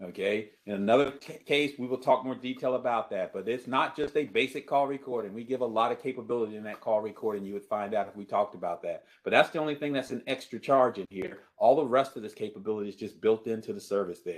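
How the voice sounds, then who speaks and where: Talking at a very fast pace with hardly any pauses, a man speaks at a medium pitch. His loudness swings widely. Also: ordinary pitch variation. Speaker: presenter demonstrating cloud calling software. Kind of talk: webinar product demo. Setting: online webinar.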